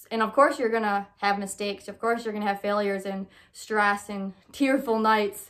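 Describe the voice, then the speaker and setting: A woman talks with an American accent in a plain, everyday voice. Her intonation stays fairly even over a very clean recording with a silent background. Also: medium pitch for a woman, moderate pace. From Michigan. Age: 20s. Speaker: podcast host. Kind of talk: casual monologue.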